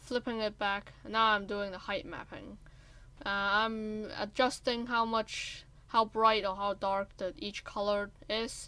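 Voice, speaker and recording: A woman speaks at a medium pitch with a non-native accent, keeping a fairly even intonation at a fairly slow pace in a bright, sharp tone. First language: not English. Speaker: gaming content creator. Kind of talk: tutorial voice-over. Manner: halting.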